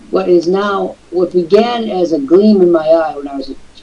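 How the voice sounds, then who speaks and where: A man's lively intonation stands out above noticeable background noise. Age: 60s. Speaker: online business show host. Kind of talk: live webcast talk. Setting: live online broadcast with camera. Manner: animated.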